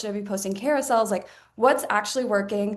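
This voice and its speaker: A woman talks at a very fast pace. Her pitch is fairly high and her intonation fairly even. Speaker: marketing director. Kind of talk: webinar presentation.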